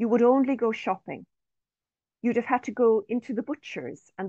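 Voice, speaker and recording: A quiet background behind a woman's voice. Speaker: professor and researcher. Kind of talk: research presentation. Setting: video call. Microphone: video call.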